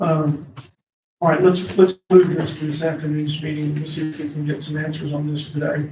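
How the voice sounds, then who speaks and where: A man's fairly high-pitched, somewhat breathy voice with a dark, mellow tone, monotone, flat intonation, big swings in loudness and a moderate pace, set in audible room echo. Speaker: county board chair. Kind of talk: meeting chairing. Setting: county board meeting room.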